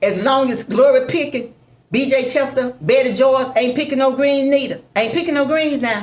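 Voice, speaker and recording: A loud, animated woman's voice, high in pitch, at a moderate pace with ordinary pitch variation. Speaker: soul food cook and restaurant owner. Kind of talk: live stream chat.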